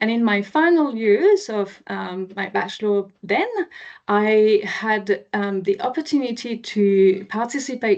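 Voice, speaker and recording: A woman speaks with a slight French accent, her pitch fairly high and its variation ordinary. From France, near Chartres. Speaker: marine scientist. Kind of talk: public presentation. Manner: hesitant, many fillers.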